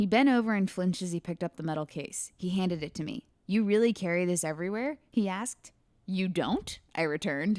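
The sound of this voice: The pitch shifts in an ordinary way as an unforced reading voice goes on.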